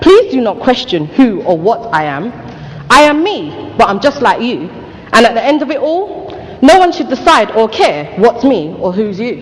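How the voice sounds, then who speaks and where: A woman speaks at a high pitch and a moderate pace, her pitch swinging very widely. Noticeable background noise runs underneath. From England. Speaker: poet. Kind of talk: spoken word poetry.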